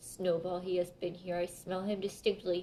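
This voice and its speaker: Putting on a character voice, a woman booms at medium pitch with monotone, flat intonation and a moderate pace over clear background noise. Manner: terrible, menacing, booming.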